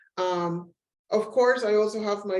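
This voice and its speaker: Dark, mellow tone in a Spanish accent at a fairly slow pace. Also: woman. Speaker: professor. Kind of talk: webinar presentation. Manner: frequent filler ums.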